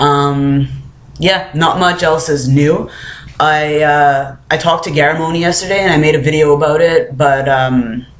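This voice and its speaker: Audible room echo surrounds a man's voice. His pitch is fairly high and his intonation fairly even. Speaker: vlogger. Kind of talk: casual vlog. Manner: many filler words.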